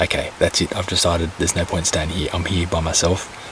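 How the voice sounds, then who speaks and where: Noticeable background noise sits behind a man with a very deep, low voice talking at a fairly quick pace. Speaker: vlogger. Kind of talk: casual vlog monologue. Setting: outdoors, camping in the bush at night. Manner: whispering; hesitant, musing.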